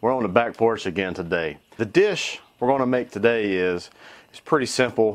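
Fairly low in pitch with ordinary variation, a man talks at a fairly quick pace. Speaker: home cook video host. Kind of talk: casual cooking tutorial. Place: garden.

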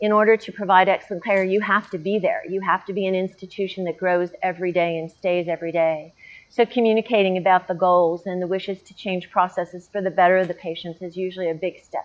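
The speech rushes along at a very fast pace with hardly any pauses, in a monotone, flat intonation. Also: woman. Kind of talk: interview answer. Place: garden. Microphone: lapel.

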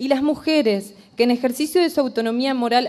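Against a quiet background, a woman with a high pitch and a dark, mellow tone speaks at a moderate pace with ordinary pitch variation. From Argentina, Entre Ríos (Concordia); Entre Ríos, Argentina. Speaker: general practitioner doctor, activist. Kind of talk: formal speech to a legislative committee. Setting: committee hearing room. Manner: formal. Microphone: podium.

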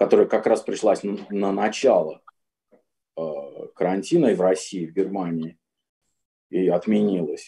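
Speaking at a moderate pace, a man is heard. Little noise sits behind him. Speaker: composer. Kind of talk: online panel discussion. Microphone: video call.

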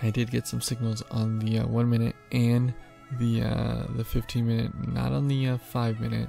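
Delivery is at a moderate pace with fairly even intonation. The sound is dry with no echo, and faint music plays in the background. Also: man. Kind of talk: casual trading commentary. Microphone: studio mic.

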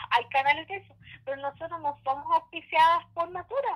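With a dry, close sound and no echo, a woman speaks at a moderate pace with ordinary pitch variation. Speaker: YouTuber. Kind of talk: casual chat. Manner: animated.

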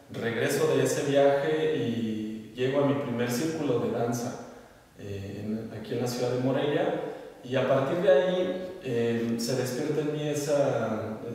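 Amid strong room echo, a man talks at a fairly slow pace, with medium pitch, ordinary pitch variation and a slightly mellow tone.

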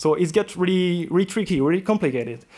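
Speaking fairly quickly, a man talks in a French accent. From France. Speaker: conference speaker, software developer; conference speaker. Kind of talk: conference talk Q&A. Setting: conference room with audience. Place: hall.

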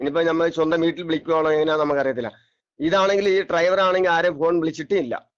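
A man's fairly high voice shows ordinary pitch variation. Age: 50s. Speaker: eyewitness bus passenger. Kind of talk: phone interview testimony. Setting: phone call. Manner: halting, repetitive.

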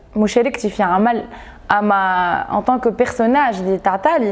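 At a moderate pace, a woman with a fairly high pitch talks in a plain, everyday voice. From Tunisia. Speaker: actress. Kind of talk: interview.

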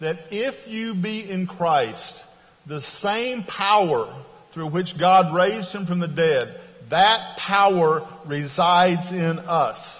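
A man speaks at a very slow pace. His voice is high, with ordinary pitch variation. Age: 60s. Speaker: pastor and religion professor; pastor, religion professor. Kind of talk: sermon. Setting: chapel worship service. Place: church. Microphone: lapel.

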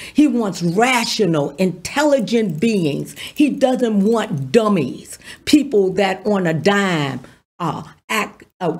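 A woman speaks at a very slow pace, her pitch swinging very widely, her voice somewhat breathy. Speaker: pastor. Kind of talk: sermon. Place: studio. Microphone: studio mic.

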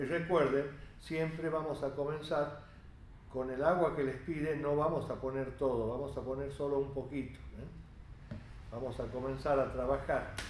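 Over light background noise and audible room echo, a man speaks fairly slowly with fairly even intonation. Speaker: cooking instructor. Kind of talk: tutorial. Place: kitchen.

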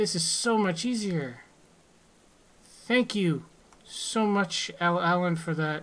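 Here a woman with a fairly low pitch speaks at a very slow pace. She takes long, frequent pauses, with ordinary pitch variation. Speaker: gaming YouTuber. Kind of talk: gameplay commentary. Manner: animated.

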